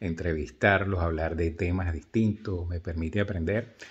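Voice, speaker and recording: Somewhat breathy, a man talks at a fairly slow pace in a very deep, low pitch with fairly even intonation. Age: 60s. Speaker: video blogger. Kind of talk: casual monologue to camera. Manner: halting, many fillers. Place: home room. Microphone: phone near.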